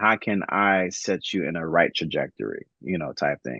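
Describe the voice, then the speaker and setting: A man's very deep, low pitch with an American accent, ordinary pitch variation, and a dry, close sound with no echo over a quiet background. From Miami, Florida. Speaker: former HBCU band drummer and father. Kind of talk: podcast interview. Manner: calm, not loud, mezzo forte; halting, many fillers and repeats.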